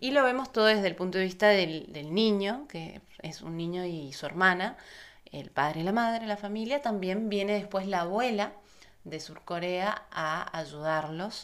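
At a fairly slow pace, a woman speaks at a medium pitch with ordinary variation and big swings in loudness. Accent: Argentine. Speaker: film journalist, podcast co-host. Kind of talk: casual chat.

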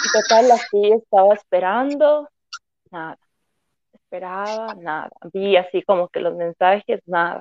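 A woman speaks at a medium pitch with ordinary pitch variation. Her loudness swings widely, and her pauses are long and frequent. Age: 20s. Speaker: fashion designer. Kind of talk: casual chat. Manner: animated.

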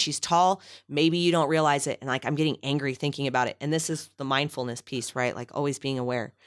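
Very deep and low in pitch, a woman talks at a fairly quick pace with ordinary pitch variation, captured on a very clean recording with a silent background. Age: 30s. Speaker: therapist and adjunct lecturer, radio host. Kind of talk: casual interview chat.

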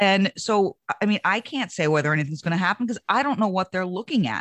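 A woman talks at a very fast pace in a medium pitch. The sound is dry and close, with no echo. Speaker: Republican political consultant and commentator. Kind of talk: political roundtable discussion.

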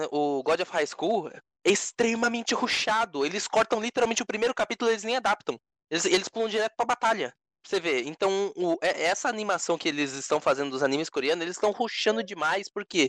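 Lively and high-pitched, a man speaks at a very fast pace with big swings in loudness. The sound is dry and close, with no echo. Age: 20s. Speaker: podcast co-host. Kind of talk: casual chat.

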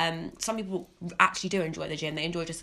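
Talking at a fairly quick pace, a woman with a fairly low pitch shows vocal fry. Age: 20s. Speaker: podcast host. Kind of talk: casual chat.

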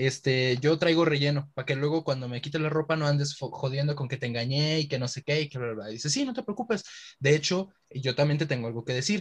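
Somewhat breathy and fairly high in pitch, this man speaks at a fairly quick pace. His pitch variation is ordinary. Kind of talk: casual chat.

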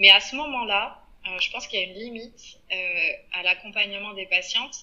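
A woman at medium pitch and a moderate pace, over noticeable background noise. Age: 30s. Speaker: podcast guest, mother. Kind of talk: casual interview. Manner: hesitant, many fillers.

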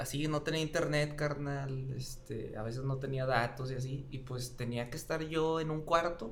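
With a Mexican accent, a man with a fairly high voice talks with fairly even intonation and hardly any pauses, amid noticeable background noise and audible room echo. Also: moderate pace. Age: 30s. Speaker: history teacher. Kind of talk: casual chat.

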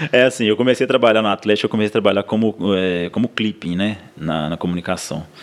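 Very fast speech over noticeable background noise. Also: man, fairly low pitch for a man, ordinary pitch variation. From Minas Gerais, Brazil (south of Minas, then Ouro Branco). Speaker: football club social media staffer. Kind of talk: casual chat.

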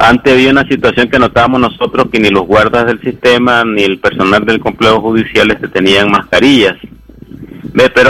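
A man speaks at a medium pitch with fairly even intonation. Noticeable background noise runs underneath. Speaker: human rights lawyer. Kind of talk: expert interview.

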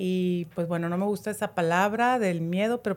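Recorded very cleanly against a silent background, a woman speaks at a medium pitch and a fairly slow pace with ordinary pitch variation. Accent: Mexican. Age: 50s. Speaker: natural products shop owner. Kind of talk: casual chat.

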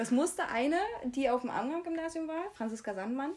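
A woman speaks with lively intonation. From Germany, Jena (Thuringia). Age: 20s. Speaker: podcast co-host. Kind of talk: casual chat.

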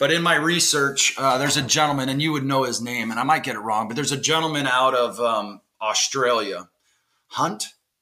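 This man has an unremarkable speaking voice, medium in pitch with ordinary pitch variation, and talks at a fairly quick pace. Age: 40s. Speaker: podcast host, former basketball coach. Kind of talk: casual interview.

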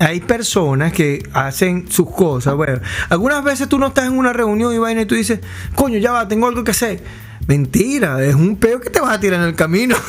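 With a Venezuelan accent, a man talks at a fairly quick pace in a high pitch, making very wide pitch swings. Noticeable background noise runs underneath. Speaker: podcast co-host. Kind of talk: casual chat.

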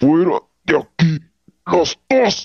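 Pitched in the middle range, the speaker uses a put-on character voice.

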